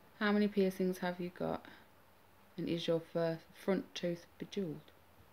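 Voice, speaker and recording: A woman with a fairly low pitch and a dark, mellow tone speaks with fairly even intonation. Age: 20s. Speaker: weight-loss vlogger. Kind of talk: casual Q&A vlog.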